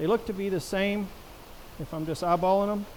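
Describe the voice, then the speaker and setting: A man speaks loudly. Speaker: product reviewer. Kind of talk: tutorial. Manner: casual.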